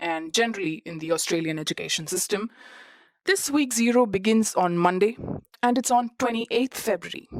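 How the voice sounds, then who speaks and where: Recorded very cleanly against a silent background, a woman speaks with lively intonation in a dry, close sound with no echo. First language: not English. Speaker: student podcast host. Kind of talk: personal podcast monologue. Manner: conversational with fillers.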